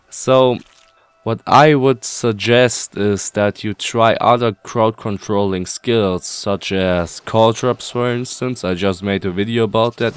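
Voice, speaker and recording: A man with a German accent, medium pitch, ordinary pitch variation, a fairly slow pace, and a dry, close sound with no echo. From Germany. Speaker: video game guide youtuber. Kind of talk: Q&A tutorial.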